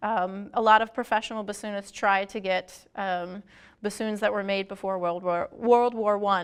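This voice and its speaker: Medium-pitched woman at a moderate pace, monotone and flat in intonation, against a quiet background. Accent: American. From Baltimore, Maryland. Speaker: music professor, oboist and bassoonist. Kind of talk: interview.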